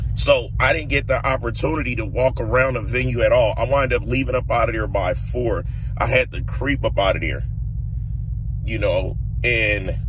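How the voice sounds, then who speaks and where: Heard over noticeable background noise, a man talks at a moderate pace in a dry sound with no echo. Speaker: vlogger. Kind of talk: casual vlog chat, storytelling. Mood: relaxed, amused. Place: car.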